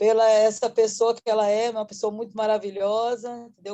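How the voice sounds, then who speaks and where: The woman's voice is fairly high in pitch. It has a dark, mellow tone. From Salvador, Bahia, Brazil. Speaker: workshop participant, entrepreneur. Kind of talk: casual thank-you remarks.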